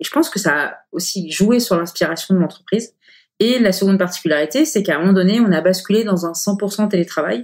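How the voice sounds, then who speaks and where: A woman talks at a very fast pace. Her voice sits at a medium pitch with lively intonation. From Paris area, France. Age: 40s. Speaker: company director. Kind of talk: interview. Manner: hesitant, many fillers.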